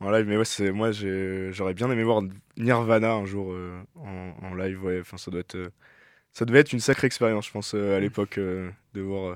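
A man's fairly low voice at a moderate pace, fairly even in intonation with big swings in loudness, on a very clean recording with a silent background. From Brittany, France. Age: 20s. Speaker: electronic music producer and DJ. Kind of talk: radio interview. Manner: halting.

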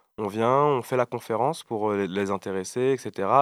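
An ordinary speaking voice moves at a fairly slow pace with fairly even intonation, sounding dry and close with no echo on a very clean recording with a silent background. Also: man. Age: 20s. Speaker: rapper and beatboxer. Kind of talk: casual interview.

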